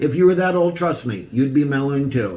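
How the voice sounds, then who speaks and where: An enthusiastic tone and lively intonation, with audible room echo and noticeable background noise. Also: man. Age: 60s. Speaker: antique ornament collector. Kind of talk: show-and-tell video presentation. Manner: casual.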